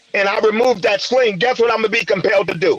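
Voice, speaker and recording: Against noticeable background noise, a man with an extremely high pitch speaks with ordinary pitch variation. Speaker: podcast panelist. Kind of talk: heated debate. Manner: loud.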